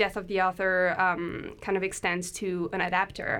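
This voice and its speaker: In a French accent, a woman speaks at a moderate pace and medium pitch with monotone, flat intonation, on a very clean recording with a silent background. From France. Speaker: PhD student and audio drama producer. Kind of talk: podcast interview.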